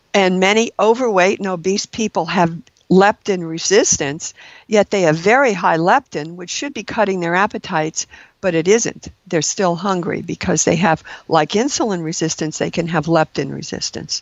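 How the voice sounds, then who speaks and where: At a moderate pace with ordinary pitch variation, this is an unremarkable speaking voice. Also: woman, medium pitch for a woman. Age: 60s. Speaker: registered nurse and keto diet expert. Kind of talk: podcast interview.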